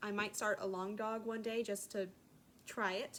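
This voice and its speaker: A woman with a slight Southern accent and fairly even intonation. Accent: slight southern twang. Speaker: craft vlogger. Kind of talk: casual chat. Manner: hesitant, many fillers.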